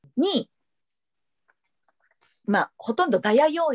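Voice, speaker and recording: The pitch swings very widely at a fairly slow pace. The background is quiet. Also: woman. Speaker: voice actor. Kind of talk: interview answer. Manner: casual, lively. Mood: friendly, animated. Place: home room. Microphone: video call.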